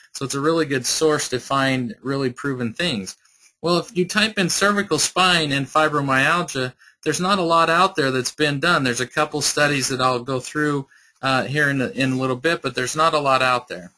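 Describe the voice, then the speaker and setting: This man talks at a fairly quick pace with a fairly high pitch and ordinary pitch variation. His tone is bright and sharp. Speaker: chiropractor. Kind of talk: webinar presentation. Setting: online webinar from an office. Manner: fast; halting, with repetitions.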